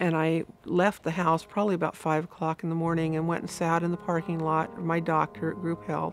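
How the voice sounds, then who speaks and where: A woman's fairly low voice at a fairly quick pace with hardly any pauses and ordinary pitch variation, music in the background. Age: 60s. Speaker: recovered alcoholic sharing her story. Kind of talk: testimony.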